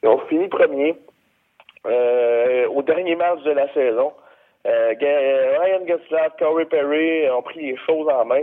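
This man's pitch runs fairly high. He talks very slowly. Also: ordinary pitch variation. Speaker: hockey pundit. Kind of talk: sports predictions chat.

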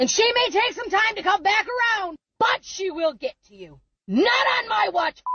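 This is a put-on character voice at an extremely high pitch. The pace is moderate. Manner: menacing, cackling.

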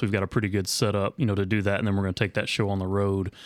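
A man with a fairly low pitch talks at a very fast pace in a monotone, flat intonation on a very clean recording with a silent background. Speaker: university athletics fan club staffer. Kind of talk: interview. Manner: halting, many fillers.

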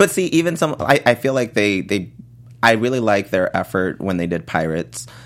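A man with an American accent and vocal fry speaks at a fairly quick pace with very wide pitch swings, on a very clean recording with a silent background. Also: fairly low pitch for a man. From Texas (El Paso). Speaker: TV after-show podcast co-host. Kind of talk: casual chat. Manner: halting.

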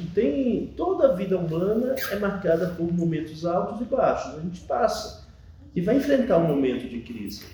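This man's voice sits high and moves at a moderate speed. Its pitch rises and falls over a very wide range. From Bahia, Brazil (moved from São Paulo as a small child). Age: 40s. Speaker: Jesuit priest. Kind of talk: interview testimony.

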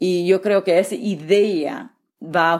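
The background stays silent as a woman talks on a very clean recording. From California Central Valley. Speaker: politician, gubernatorial candidate. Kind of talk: interview. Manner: halting.

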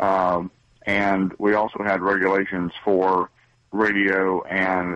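A speaker with an American accent talks in a flat, monotone way. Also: man. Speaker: radio caller. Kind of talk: call-in opinion. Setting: phone call.

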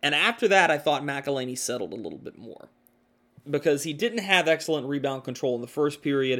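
Bright and sharp in tone, a man talks fairly quickly at a fairly high pitch, his intonation lively and his loudness swinging widely. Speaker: podcast host and hockey commentator. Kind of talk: sports podcast recap, play-by-play style narration of a hockey game. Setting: studio podcast. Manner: conversational, opinionated.

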